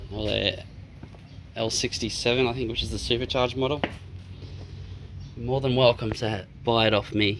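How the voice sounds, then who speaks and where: Against noticeable background noise, a man with an Australian accent speaks at a moderate pace. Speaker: car DIY enthusiast. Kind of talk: casual DIY talk to camera. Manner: rambling, casual.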